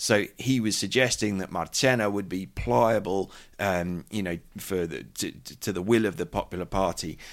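In a British accent, a man talks at a moderate pace with a fairly low pitch and ordinary pitch variation. The recording is very clean, with a silent background. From Britain. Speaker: journalist and podcast host. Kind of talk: news discussion podcast. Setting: studio.

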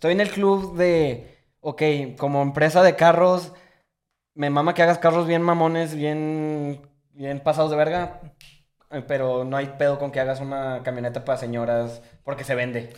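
A man with a Mexican accent, fairly high-pitched, at a moderate pace, with big swings in loudness. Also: ordinary pitch variation. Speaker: podcast co-host. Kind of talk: casual chat.

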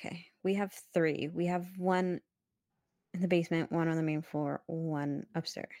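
Very clean and silent in the background, the recording has a woman with a Canadian accent speaking at a fairly slow pace in a fairly low pitch, with a dark, mellow tone and monotone, flat intonation. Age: 20s. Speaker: podcast co-host. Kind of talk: casual chat.

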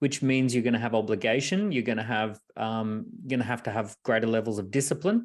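An Australian accent from a man, on a very clean recording with a silent background. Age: 40s. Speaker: entrepreneur and author. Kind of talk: casual interview.

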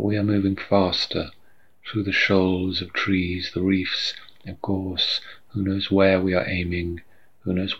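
In a very deep, low voice, a man speaks at a fairly slow pace, somewhat breathy and monotone with flat intonation. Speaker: poet. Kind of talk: poetry reading. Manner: measured, unhurried, reflective reading.

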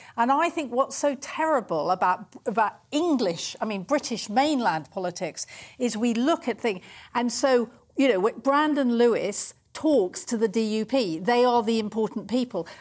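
In a very clean recording with a silent background, a woman with a normal speaking voice talks at a moderate pace and a fairly high pitch, her intonation lively. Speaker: former political advisor. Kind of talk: panel discussion.

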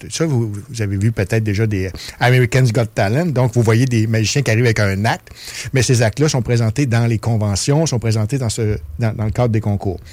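In a plain, everyday voice, the speaker moves at a fairly quick pace with ordinary pitch variation and very even loudness. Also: man, medium pitch for a man. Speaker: festival artistic director. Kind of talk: interview. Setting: studio.

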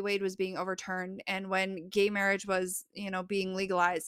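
In a very clean recording with a silent background, a woman with an American accent uses a normal speaking voice of medium pitch at a moderate pace. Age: 20s. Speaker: librarian. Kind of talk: casual chat.

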